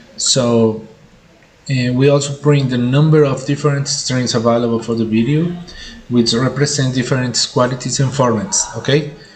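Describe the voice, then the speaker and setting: A man talks in a medium pitch with fairly even intonation. Audible room echo and noticeable background noise surround his voice. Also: moderate pace. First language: Spanish. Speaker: tech tutorial youtuber. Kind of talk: tutorial. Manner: halting, many fillers.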